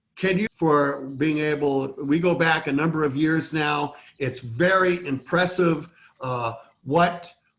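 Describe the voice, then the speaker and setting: His intonation is fairly even. The man delivers his words very slowly. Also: fairly high pitch for a man. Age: 60s. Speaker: election integrity activist. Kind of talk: casual interview conversation.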